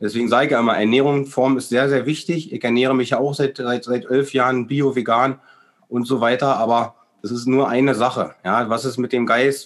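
Fairly even in intonation, a man speaks at a medium pitch and a moderate pace. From Berlin, eastern Germany. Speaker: alternative healer. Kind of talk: interview. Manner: halting, many fillers and repetitions.

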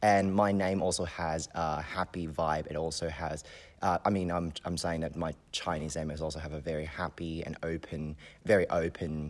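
In a Hong Kong accent, a man speaks at a very deep, low pitch with fairly even intonation. His pace is moderate, and the recording is very clean with a silent background. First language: Cantonese. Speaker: community member and university student. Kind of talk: interview.

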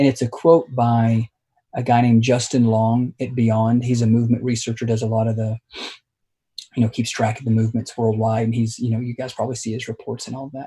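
In an American accent, a man talks at a very fast pace and medium pitch, his voice somewhat breathy with a dark, mellow tone and monotone, flat intonation. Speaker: pastor. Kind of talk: interview.

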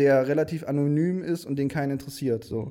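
Speaking at a moderate pace, a man has a fairly high pitch and a dark, mellow tone. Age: 20s. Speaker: video producer. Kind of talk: casual interview. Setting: studio.

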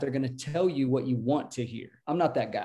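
Here a man speaks at medium pitch. His tone is dark and mellow. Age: 40s. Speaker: life coach and podcaster. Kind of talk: casual interview.

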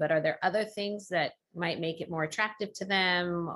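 With an American accent, a woman uses an ordinary speaking voice at a fairly low pitch and a moderate pace, with ordinary pitch variation against a quiet background. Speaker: podcast host. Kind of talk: casual interview.

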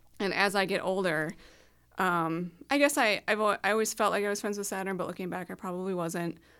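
A woman with an Upper Midwest accent talks at a fairly quick pace in a medium pitch with ordinary pitch variation, on a very clean recording with a silent background. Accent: Upper Midwest American. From small-town Minnesota. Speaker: astrology podcast co-host. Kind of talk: casual chat. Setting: home basement studio.

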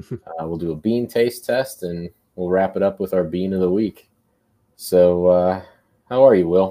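Speaking at a fairly slow pace, a man has a very deep, low pitch, a dark, mellow tone and ordinary pitch variation. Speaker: podcast co-host. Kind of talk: casual chat. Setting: live stream.

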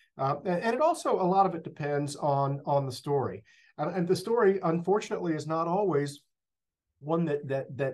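A man speaks with a Texan accent. His pitch is fairly high with ordinary variation. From Northeast Texas. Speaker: school district communications director. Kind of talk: interview. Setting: office.

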